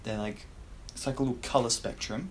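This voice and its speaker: A man's somewhat breathy voice at a medium pitch, with audible room echo. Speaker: self-improvement youtuber. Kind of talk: casual tier-list commentary. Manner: casual.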